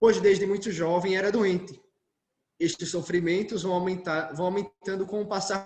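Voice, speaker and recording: Monotone and flat, a man's high-pitched voice moves at a moderate pace. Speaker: Carmelite friar giving a talk. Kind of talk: lecture.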